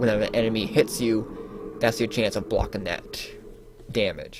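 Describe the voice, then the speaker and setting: Music plays in the background. Over it, a man speaks at medium pitch. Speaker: gaming video creator. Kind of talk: gameplay commentary. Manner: animated.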